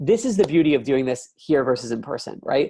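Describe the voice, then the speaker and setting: Over a quiet background, a man speaks in an animated tone. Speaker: product demo presenter; presenter. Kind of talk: software demo presentation. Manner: fast. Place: home room. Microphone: webcam.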